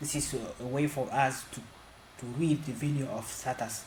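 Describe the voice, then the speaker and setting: There is noticeable background noise as a man talks at a medium pitch. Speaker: programming tutorial creator. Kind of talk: tutorial. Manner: halting.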